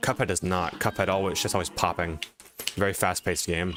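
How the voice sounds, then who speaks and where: Speech at a very fast pace runs over music in the background. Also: man. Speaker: YouTuber and game streamer. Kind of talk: live stream commentary with chat. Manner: casual, hesitant fillers.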